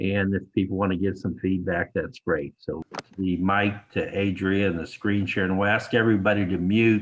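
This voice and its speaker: A man's fairly low voice at a moderate pace, with fairly even intonation and a plain, everyday voice. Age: 60s. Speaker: reunion organizer. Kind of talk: video call meeting intro. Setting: video call.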